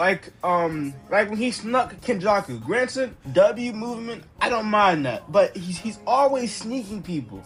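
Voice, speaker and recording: A man with a high pitch talks at a fairly slow pace, with hardly any pauses and ordinary pitch variation. Music plays in the background. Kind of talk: casual anime commentary.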